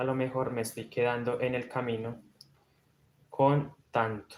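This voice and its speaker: The man is soft-spoken. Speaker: crochet instructor. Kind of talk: live-stream tutorial.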